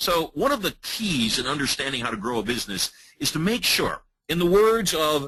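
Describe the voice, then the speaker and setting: With an American accent, a man speaks at a moderate pace in a fairly high pitch, his bright, sharp tone carrying vocal fry and very wide pitch swings. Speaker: hypnotist and business trainer. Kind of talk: webinar presentation.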